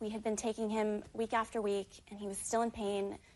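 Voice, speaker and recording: A plain, everyday voice from a woman, fairly high in pitch, at a fairly quick pace. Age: 20s. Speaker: litigant in small claims court. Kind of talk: courtroom testimony.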